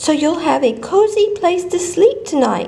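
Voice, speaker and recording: Clear background noise accompanies a put-on character voice. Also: woman. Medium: read story. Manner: chirpy.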